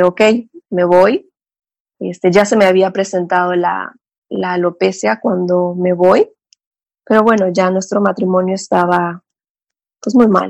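A woman speaks at medium pitch and a fairly slow pace. She leaves long, frequent pauses. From Mexico, Cancún. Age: 30s. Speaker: psychotherapist. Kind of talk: interview, personal life story.

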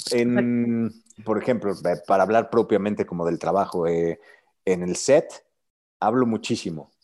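In a Mexican accent, a man with a fairly low, dark, mellow voice speaks at a fairly slow pace with ordinary pitch variation, recorded very cleanly against a silent background. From Mexico. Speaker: actor. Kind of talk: interview conversation.

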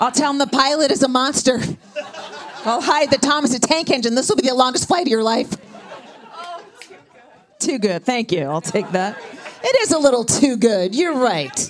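A woman speaks at a moderate pace in a high pitch, with very wide pitch swings and big swings in loudness. Her long pauses come often, and crowd noise sits in the background. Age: 50s. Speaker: comedian. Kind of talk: stand-up. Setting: stage with audience.

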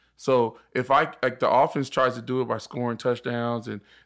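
A man with an American accent and medium pitch, an ordinary speaking voice, a fairly quick pace, and a very clean recording with a silent background. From Inland Empire, Southern California. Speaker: former football linebacker. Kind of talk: casual chat.

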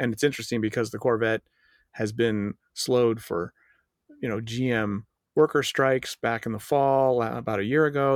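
A man with an American accent has an unremarkable speaking voice. His medium pitch carries fairly even intonation. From Golden, Colorado. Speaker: car journalist, podcast co-host. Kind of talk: casual chat. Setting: remote internet call.

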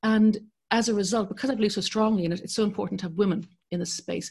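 Over a quiet background, a woman with an Irish accent talks at a very fast pace, somewhat breathy and fairly high-pitched. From Ireland. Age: 50s. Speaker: journalist and broadcaster. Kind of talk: interview.

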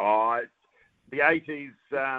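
A man with a New Zealand accent speaks at a moderate pace in a medium pitch. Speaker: football pundit, former footballer. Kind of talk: sports commentary. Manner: animated.

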